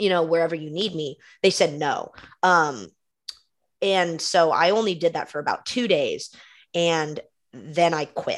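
A woman speaks with an unremarkable speaking voice at a fairly low pitch. Her pace is moderate and her pitch variation ordinary. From California, East Bay (Concord). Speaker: graduate student intern. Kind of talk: casual chat. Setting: video call.

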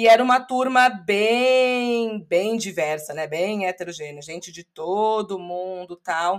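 A woman with an unremarkable speaking voice speaks at medium pitch with lively intonation. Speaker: English teacher and podcaster. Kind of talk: interview.

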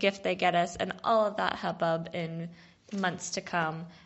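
In an American accent, a woman with a normal speaking voice talks fairly slowly with fairly even intonation. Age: 20s. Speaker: listener, bride-to-be. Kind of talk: voicemail message. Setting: recorded voicemail.

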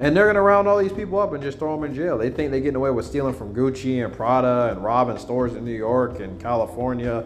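A man with an American accent speaks at a very fast pace, using a medium pitch, lively intonation and an animated tone. Noticeable background noise and audible room echo fill the recording. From United States. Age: 20s. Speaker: podcaster. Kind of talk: casual monologue.

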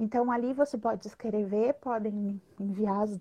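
A woman with a southern Brazilian accent, at a moderate pace and with fairly even intonation, against a quiet background. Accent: gaúcho Brazilian Portuguese. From Rio Grande do Sul, southern Brazil. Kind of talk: casual live interview. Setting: online live video stream.

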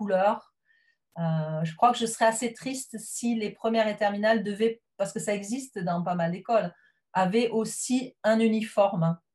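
Her voice somewhat breathy, a woman speaks at a moderate pace with a medium pitch and ordinary pitch variation. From southwest France. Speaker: teacher. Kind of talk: interview. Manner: hesitant.

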